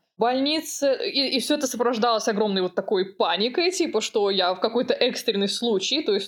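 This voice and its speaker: Lively intonation from a woman with a fairly high voice, fairly quick and with hardly any pauses, her loudness very even. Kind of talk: casual chat. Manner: halting.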